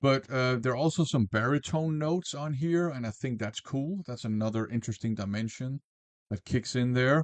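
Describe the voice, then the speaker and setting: Recorded dry and close with no echo and a quiet background, a man speaks at a medium pitch with ordinary pitch variation. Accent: non-native. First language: not English. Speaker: music reviewer. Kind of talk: album review. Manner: casual with filler words.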